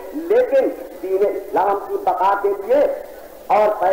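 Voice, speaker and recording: With noticeable background noise, a man speaks at a high pitch with ordinary pitch variation. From India-born, lived in Karachi, Pakistan. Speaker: Shia religious scholar delivering a sermon. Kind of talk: Urdu religious oration on Islamic history. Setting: imambara gathering, old recording.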